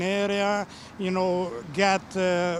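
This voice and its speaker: A man with a slight Romanian accent speaks at a high pitch. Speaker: painter and art teacher. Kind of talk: TV interview. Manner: halting, many fillers.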